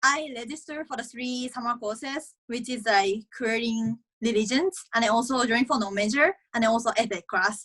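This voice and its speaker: With a Japanese accent, a woman speaks at a fairly high pitch with ordinary pitch variation, in a dry, close sound with no echo. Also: fairly quick pace. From Japan, Aichi. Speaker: college tennis player. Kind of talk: interview.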